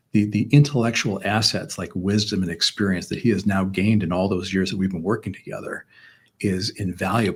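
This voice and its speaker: A man with an American accent speaks at a fairly quick pace and fairly low pitch. His voice is somewhat breathy, on a very clean recording with a silent background. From Chicago, US Midwest. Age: 60s. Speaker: businessman. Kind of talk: interview conversation. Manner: halting, many repeated words.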